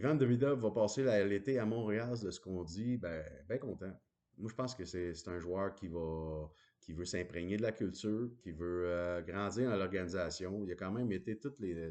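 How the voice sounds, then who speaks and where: A man with a very deep, low pitch speaks in a dark, mellow tone against a quiet background. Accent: Quebec. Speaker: hockey commentator. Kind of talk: casual monologue. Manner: hesitant, many fillers.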